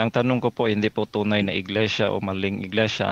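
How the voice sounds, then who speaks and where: A man's voice comes across with a dry, close sound and no echo. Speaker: Baptist pastor debater. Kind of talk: religious debate.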